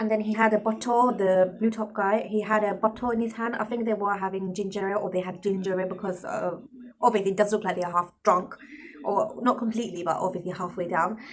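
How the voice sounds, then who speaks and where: A woman with a London accent talks at a very fast pace and medium pitch, with noticeable background noise. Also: fairly even intonation. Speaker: vlogger. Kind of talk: casual storytelling vlog. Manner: rambling with many fillers.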